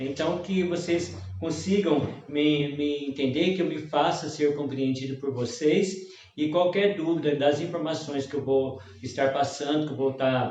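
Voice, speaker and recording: Speaking fairly slowly with a Minas Gerais accent, a man's fairly high voice is heard with audible room echo and noticeable background noise. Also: ordinary pitch variation. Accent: Mineiro Brazilian Portuguese. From Minas Gerais, Brazil. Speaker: hairdresser and technical trainer. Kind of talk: live-stream lecture. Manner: hesitant.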